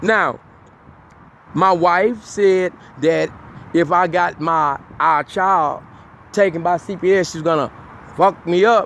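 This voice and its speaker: A man's high pitch with ordinary pitch variation. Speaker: self-styled prophet and litigant. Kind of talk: personal monologue commentary. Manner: halting, repeats words.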